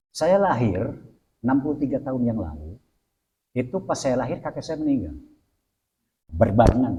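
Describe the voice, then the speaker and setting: A man's medium-pitched voice with vocal fry and a dark, mellow tone, very wide pitch swings, a moderate pace and long, frequent pauses. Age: 60s. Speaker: Islamic cleric. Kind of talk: religious talk in interview.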